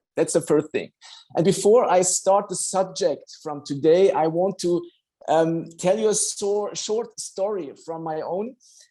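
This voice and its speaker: A man's high-pitched voice in a German accent, dark and mellow in tone, with fairly even intonation at a fairly slow pace. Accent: non-native English, German-speaking. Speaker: doctor. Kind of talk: online health talk. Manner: halting, with many fillers.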